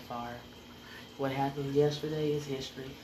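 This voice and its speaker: Over noticeable background noise, a woman with a very deep, low pitch speaks at a fairly quick pace in an animated tone. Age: 40s. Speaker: podcast host. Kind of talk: angry rant, venting about betrayal and fake people. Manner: heated and confrontational, warning people directly; animated and preachy, repetitive exhortations.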